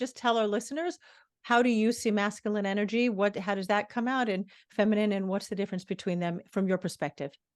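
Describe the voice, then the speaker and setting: With an American accent, a woman talks at a very fast pace in a fairly high pitch with ordinary pitch variation against a quiet background. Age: 60s. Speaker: podcast host. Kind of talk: interview.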